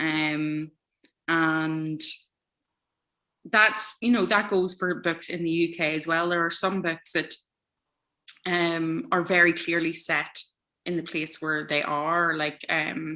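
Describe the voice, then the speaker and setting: A woman with an Irish accent, very slow with long, frequent pauses, fairly low in pitch and fairly even in intonation, her tone bright and sharp, over a quiet background. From Ireland. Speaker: author. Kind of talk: interview. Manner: hesitant, many fillers.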